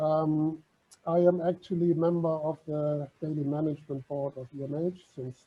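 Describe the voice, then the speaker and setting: A man speaks with a German accent. His voice is fairly high-pitched and somewhat breathy. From Germany. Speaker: maritime heritage organisation vice president. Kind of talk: online talk presentation.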